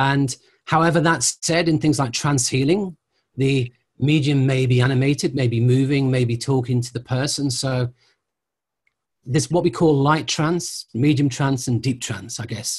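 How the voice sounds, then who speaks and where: Against a quiet background, a man talks. His voice is somewhat breathy, with ordinary pitch variation. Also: moderate pace. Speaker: interviewee, teacher. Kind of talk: interview answer. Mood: calm, thoughtful explaining. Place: home room. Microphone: video call.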